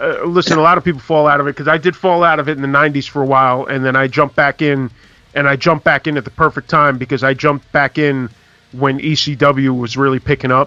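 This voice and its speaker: In a New York accent, a bright, sharp voice speaks at a very fast pace with monotone, flat intonation and a dry, close sound with no echo. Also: man, fairly high pitch for a man. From New York, the Bronx. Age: 40s. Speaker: podcast host. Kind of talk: casual chat.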